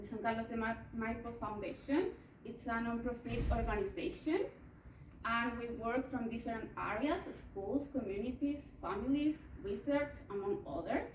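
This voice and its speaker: In a Chilean accent, a woman with a fairly high pitch speaks with lively intonation amid audible room echo. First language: Spanish. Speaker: psychologist presenting research. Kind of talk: conference presentation. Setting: conference talk. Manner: slow; halting.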